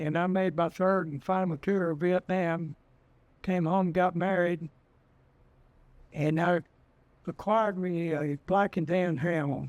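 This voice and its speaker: A man talks very slowly in a high pitch with a Texas accent. His intonation is monotone and flat. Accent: Texas rural. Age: 80s+. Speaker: retired trapper and dog breeder. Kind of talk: storytelling interview.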